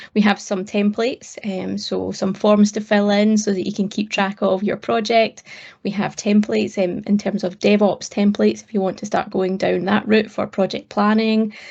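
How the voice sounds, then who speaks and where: With a Scottish accent, a somewhat breathy woman of medium pitch speaks at a moderate pace in a monotone, flat manner with hardly any pauses. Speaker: cloud technology advocate. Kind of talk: interview.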